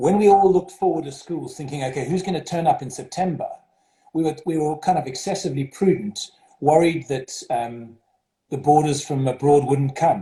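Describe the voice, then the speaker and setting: Speaking with a slight South African accent, the man has a fairly high voice with a dark, mellow tone and ordinary pitch variation. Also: moderate pace. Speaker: school headmaster. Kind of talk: interview.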